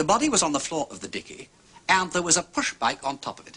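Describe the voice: Putting on a character voice, a man races along at a fast pace, fairly high-pitched, bright and sharp with a slightly husky edge and very wide pitch swings.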